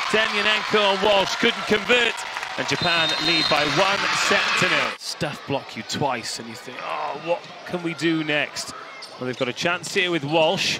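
Speaking at a fairly slow pace in an enthusiastic tone, a man with a high pitch is heard over noticeable background noise. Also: lively intonation. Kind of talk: live sports commentary. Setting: commentary booth over match broadcast. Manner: enthusiastic, gushing with praise.

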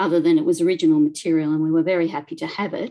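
A woman with an Australian accent talking very fast over a quiet background. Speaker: local studies librarian; presenter. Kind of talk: presentation. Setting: video call. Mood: warm, enthusiastic storytelling. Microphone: video call.

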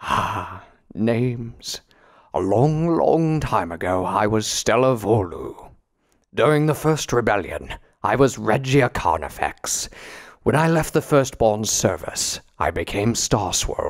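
A man puts on a resonant character voice at a medium pitch. He speaks at a fairly slow pace. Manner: imperious, wry.

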